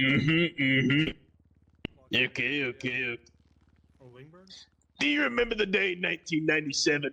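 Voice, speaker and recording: Using a put-on character voice, a man with a fairly high pitch talks at a moderate pace, leaving long, frequent pauses. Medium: actual play.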